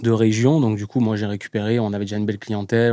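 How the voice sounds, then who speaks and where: This man has a dark, mellow tone and a fairly low pitch, and he talks at a very fast pace. The recording is very clean, with a silent background. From southern France, Var (Toulon). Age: 30s. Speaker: tattoo artist. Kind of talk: casual interview. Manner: energetic.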